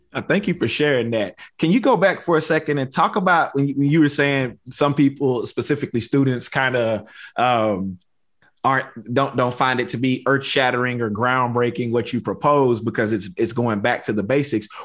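At a moderate pace, a man talks with a medium pitch and ordinary pitch variation. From rural East Texas. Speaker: podcast host, university housing administrator. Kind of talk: podcast interview. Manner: animated.

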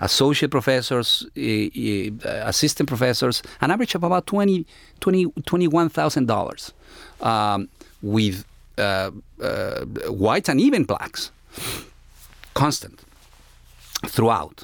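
Speaking in a Spanish accent, a man goes at a fairly slow pace. He leaves long, frequent pauses on a very clean recording with a silent background. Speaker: history professor. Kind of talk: interview discussion.

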